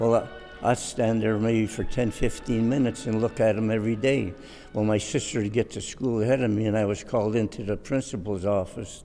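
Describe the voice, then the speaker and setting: A man's medium-pitched voice with an American accent, flat and monotone at a fairly quick pace, with music in the background. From Cleveland, Ohio. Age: 80s+. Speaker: retired long-time neighborhood resident. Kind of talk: interview answer, reminiscing.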